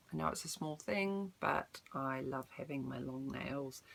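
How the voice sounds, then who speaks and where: Her accent is New Zealand. The woman keeps a moderate pace. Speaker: vlogger. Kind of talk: casual vlog update. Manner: hesitant, many ums.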